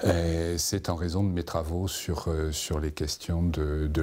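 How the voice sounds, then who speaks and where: This man speaks very slowly in a very deep, low voice with a dark, mellow tone. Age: 70s. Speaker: retired sociologist. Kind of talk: interview.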